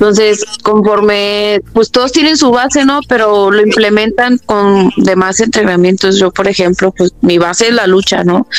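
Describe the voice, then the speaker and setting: Speaking at a fairly slow pace with hardly any pauses, a woman keeps a medium pitch, ordinary pitch variation and very even loudness. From Mexico, León, Guanajuato. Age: 20s. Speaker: mixed martial arts fighter. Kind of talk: interview.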